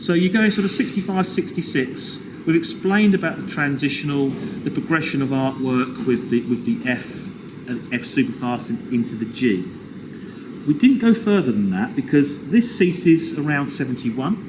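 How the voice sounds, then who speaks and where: A man's pitch swings very widely. Noticeable background noise can be heard behind him. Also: fairly high pitch for a man, moderate pace. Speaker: toy collector. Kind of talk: casual chat. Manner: loud; animated.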